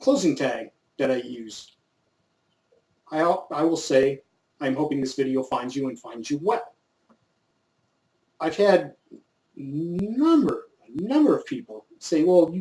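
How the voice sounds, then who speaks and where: A man with a fairly high pitch and a dark, mellow tone speaks at a fairly slow pace, with long, frequent pauses. His intonation is lively and his loudness swings widely. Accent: American. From US, coastal north San Diego County, Southern California. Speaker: YouTube gun channel host. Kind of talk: casual vlog monologue. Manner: laid-back, casual.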